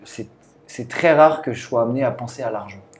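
A man's fairly even intonation comes through noticeable background noise. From Brittany, southern Finistère. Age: 20s. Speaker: strength and conditioning coach. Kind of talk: casual interview.

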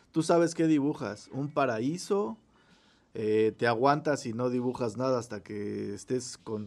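Speaking fairly slowly with a Mexican accent, a man holds a medium pitch with ordinary pitch variation. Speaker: podcast host. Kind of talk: casual chat. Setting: recording from home.

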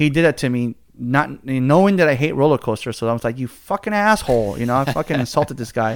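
Speaking with an American accent at a medium pitch, a man races along at a very fast pace with hardly any pauses. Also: lively intonation. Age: 30s. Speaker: podcast host. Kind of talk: casual chat.

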